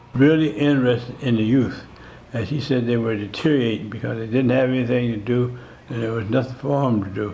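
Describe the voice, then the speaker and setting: Noticeable background noise and audible room echo surround this recording. A man with an American accent speaks at a medium pitch and a moderate pace, his intonation fairly even. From US Midwest, South Minneapolis, Minnesota. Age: 90s. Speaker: community center founding member. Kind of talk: interview. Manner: halting, with many fillers.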